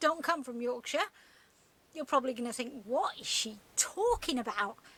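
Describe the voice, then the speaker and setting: Woman's raised, projected voice with lively intonation at a fairly slow pace. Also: long, frequent pauses, big swings in loudness. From Sheffield, Yorkshire. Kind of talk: casual talk to camera. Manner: chatty, humorous.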